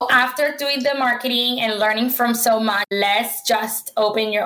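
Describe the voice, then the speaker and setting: A woman's fairly high voice rises above noticeable background noise. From Puerto Rico. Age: 30s. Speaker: fitness entrepreneur. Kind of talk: podcast interview. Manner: animated.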